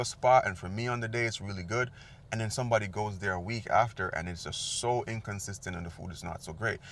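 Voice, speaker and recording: A man rattles along at a very fast pace in a medium pitch. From Jamaica. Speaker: food vlogger. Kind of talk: casual vlog talk to camera. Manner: code-switches between patois and standard English.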